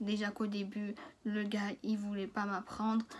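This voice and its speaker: Her pace is fairly slow and her pitch fairly high. The woman sounds somewhat breathy. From France. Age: 20s. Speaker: cooking trainee. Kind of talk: casual story time to camera. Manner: casual, hesitant.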